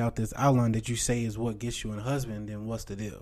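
Pitched at a medium level, a man speaks at a fairly quick pace. His intonation is monotone and flat. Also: very clean recording, silent background. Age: 20s. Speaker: faith podcast co-host. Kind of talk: casual chat.

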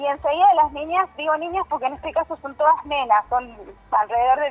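Over music in the background, a woman talks at a moderate pace with lively intonation. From Argentina, Córdoba Sierras Chicas. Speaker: violin teacher. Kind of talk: radio interview. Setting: phone call.

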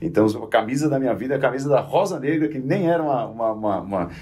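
Very fast delivery from a man at medium pitch, dark and mellow in tone, with lively intonation. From São Caetano do Sul, São Paulo, Brazil. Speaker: football commentator. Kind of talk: casual chat.

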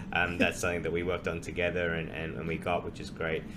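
A man with an Australian accent. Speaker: podcast host. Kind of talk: casual interview chat.

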